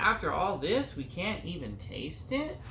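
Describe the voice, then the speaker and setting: Over clear background noise, a man puts on a character voice pitched high. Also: moderate pace. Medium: read story.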